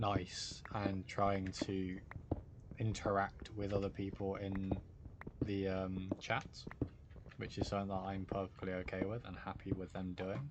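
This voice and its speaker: This man has a British accent and a fairly low pitch. He talks at a fairly slow pace in a monotone, flat intonation, with long, frequent pauses. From Britain. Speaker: gaming streamer. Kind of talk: live stream chat.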